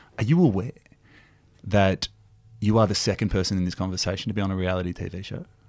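Speaking at a very fast pace with long, frequent pauses, a man with an Australian accent has a fairly low pitch and a playful tone. His intonation stays fairly even in a very clean recording with a silent background. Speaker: podcast co-host. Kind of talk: casual comedic chat. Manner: joking, playful.

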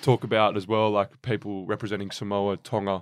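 Speaking very fast in an Australian accent, a man uses a fairly low pitch. The recording is very clean and the background silent. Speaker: podcast co-host. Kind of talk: interview.

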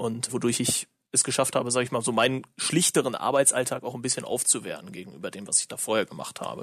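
Medium in pitch, a man's voice has ordinary pitch variation. He talks very fast, with big swings in loudness. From Lower Saxony, Germany (rural). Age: 20s. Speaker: professional esports player. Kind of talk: casual interview. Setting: video call.

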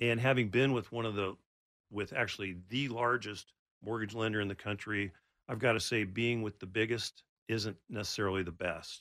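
In an American accent, a man with a fairly low pitch and a bright, sharp tone speaks at a moderate pace with fairly even intonation, on a very clean recording with a silent background. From Oregon, Portland area. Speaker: mortgage loan officer. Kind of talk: radio interview. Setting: studio.

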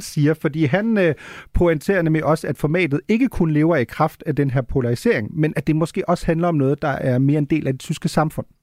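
A normal speaking voice from a man, fairly high in pitch with lively intonation, at a fairly quick pace, in a very clean recording with a silent background and a dry, close sound with no echo. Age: 30s. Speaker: radio host. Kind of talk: radio magazine show, interviews.

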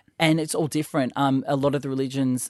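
In an Australian accent, someone speaks at a very fast pace, with dry, close sound, no echo, and a quiet background. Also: man. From Sydney, Australia (Northern Beaches). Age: 30s. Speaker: stylist. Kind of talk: casual chat. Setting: studio. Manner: animated.

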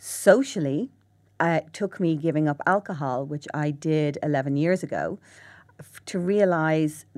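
With a Dublin accent, a woman speaks at a moderate pace. Her very deep, low pitch shows ordinary variation. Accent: Irish (Dublin). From Ireland. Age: 40s. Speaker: psychotherapist and author. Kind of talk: interview. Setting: studio.

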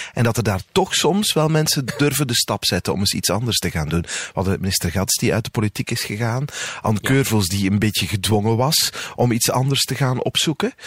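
A man talks at a fairly quick pace with lively intonation. The sound is dry and close with no echo, though there is noticeable background noise. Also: medium pitch for a man. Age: 40s. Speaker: podcast host. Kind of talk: casual interview.

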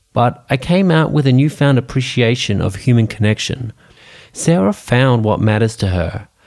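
At a moderate pace, the speaker uses an Australian accent with lively intonation and very even loudness. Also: man, medium pitch for a man. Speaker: podcast host. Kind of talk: scripted narration.

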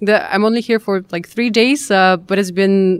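With a Russian accent, a woman speaks at a moderate pace and medium pitch, with fairly even intonation. The recording is very clean, with a silent background. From Russia, Kazan. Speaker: event representative. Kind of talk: interview. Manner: halting.

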